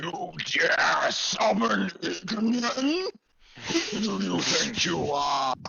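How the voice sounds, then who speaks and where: This put-on character voice rumbles. It moves at a very slow pace. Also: man. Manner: imperious, indignant.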